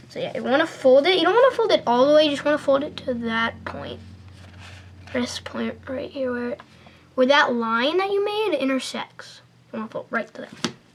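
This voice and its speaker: A woman with a high voice talks at a fairly quick pace with lively intonation, big swings in loudness, and long, frequent pauses over noticeable background noise. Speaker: paper airplane tutorial maker. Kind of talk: tutorial. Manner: hesitant, many fillers.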